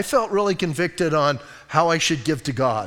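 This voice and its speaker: A high-pitched man's voice with an American accent. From Arizona (Bisbee). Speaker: pastor. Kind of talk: sermon.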